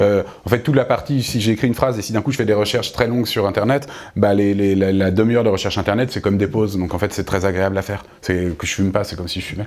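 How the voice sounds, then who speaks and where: A man talks at a very fast pace. His fairly low voice keeps a fairly even intonation. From France, Essonne (Paris suburbs). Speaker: novelist. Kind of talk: bookshop author interview. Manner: halting, many repetitions and fillers.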